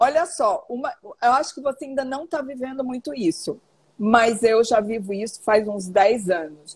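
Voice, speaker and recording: A woman's fairly high, animated voice with lively intonation at a fairly slow pace. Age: 60s. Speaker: author and teacher on women's health. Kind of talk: interview on live stream.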